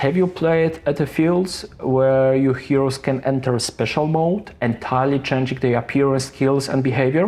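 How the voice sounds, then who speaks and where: A man with a strong non-native accent speaks at a moderate pace with hardly any pauses. His fairly high pitch shows ordinary variation, and his loudness stays very even. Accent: heavy non-native English. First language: not English. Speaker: board game reviewer. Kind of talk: scripted review narration.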